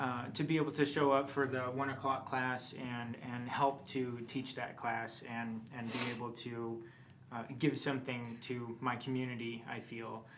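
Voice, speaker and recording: A man's medium-pitched, flat, monotone voice at a fairly slow pace, with audible room echo. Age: 30s. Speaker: acupuncturist and tai chi instructor. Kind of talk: personal introduction.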